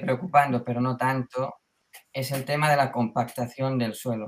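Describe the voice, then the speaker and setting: An unremarkable speaking voice comes from a man with a medium pitch. His intonation stays fairly even at a moderate pace. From Mallorca, Spain. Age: 20s. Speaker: beginning market gardener. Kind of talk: casual interview chat.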